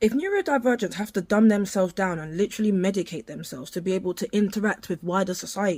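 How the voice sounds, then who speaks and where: At a very fast pace, a woman speaks with a medium pitch in a dark, mellow, somewhat breathy tone. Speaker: neurodivergent commentator. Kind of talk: opinionated commentary.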